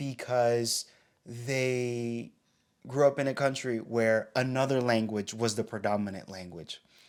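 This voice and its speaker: A man speaks in a normal speaking voice with an American accent at a medium pitch. His pace is fairly slow and his intonation fairly even. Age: young. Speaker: pastor and podcast co-host. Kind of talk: casual chat.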